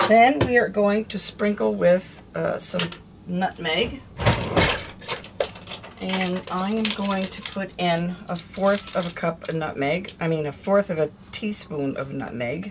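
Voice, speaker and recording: Speech comes at a very slow pace over loud background noise. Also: woman. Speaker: home cooking vlogger. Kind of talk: tutorial. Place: kitchen. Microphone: phone near.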